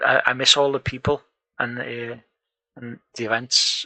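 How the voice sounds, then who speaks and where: Quiet speech at a fairly slow pace, in a northern English accent, comes through with a dry, close sound and no echo. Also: man. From northern England. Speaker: programming tutor and live streamer. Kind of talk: live coding stream chat. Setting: home room, live stream. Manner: quietly spoken.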